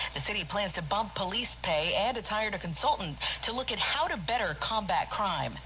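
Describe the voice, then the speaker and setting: A woman talks at a fairly quick pace with lively intonation. Noticeable background noise sits behind her. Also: medium pitch for a woman, hardly any pauses. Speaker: radio news anchor. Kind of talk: radio newscast read.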